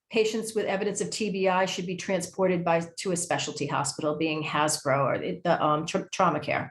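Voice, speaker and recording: Her fairly low voice moving at a fairly quick pace with hardly any pauses, a woman speaks with ordinary pitch variation. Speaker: education program manager at nonprofit. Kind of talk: presentation. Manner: fast; halting, many fillers.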